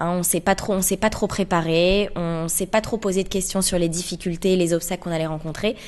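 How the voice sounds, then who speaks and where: A woman talks at a fairly quick pace with hardly any pauses. Her medium-pitched voice is monotone, with flat intonation. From France, Paris. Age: 20s. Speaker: association co-founder. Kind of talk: radio interview.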